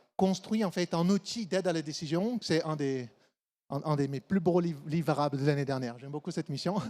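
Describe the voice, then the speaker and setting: With a slight Brazilian accent, a man speaks at a moderate pace in a high pitch with lively intonation. The sound is dry and close with no echo, on a very clean recording with a silent background. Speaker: supply chain consultant. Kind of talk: conference talk.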